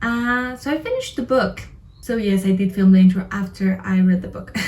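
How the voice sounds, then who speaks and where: With a non-native accent, a woman talks at a fairly quick pace in a medium pitch with ordinary pitch variation over noticeable background noise. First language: not English. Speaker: book reviewer vlogger. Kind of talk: casual video review.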